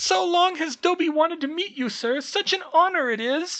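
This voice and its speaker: Pitching his voice extremely high, a man performs a put-on character voice. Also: moderate pace. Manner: eager, deferential.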